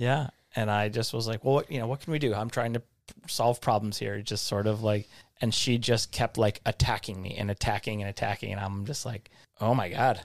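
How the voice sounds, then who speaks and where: A man with an unremarkable speaking voice talks fairly quickly with fairly even intonation, in a dry, close sound with no echo on a very clean recording with a silent background. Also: medium pitch for a man. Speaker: podcast co-host. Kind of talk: casual chat.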